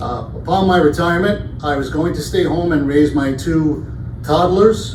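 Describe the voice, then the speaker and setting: A New York accent carries ordinary pitch variation. Room echo is audible, and background noise is noticeable. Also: man. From Brooklyn, New York. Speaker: campus safety director. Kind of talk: town hall presentation.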